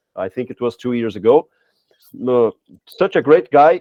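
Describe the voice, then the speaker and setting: A man with a Portuguese accent, talking at a fairly quick pace. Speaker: language teacher, podcast co-host. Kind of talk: casual podcast chat. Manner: halting, many fillers and restarts.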